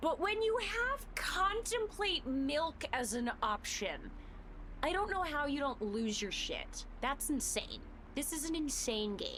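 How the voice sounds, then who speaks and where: A woman speaks loudly at a high pitch with very wide pitch swings. She goes at a very slow pace over noticeable background noise. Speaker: video game streamer. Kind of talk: live gameplay stream commentary. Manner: animated.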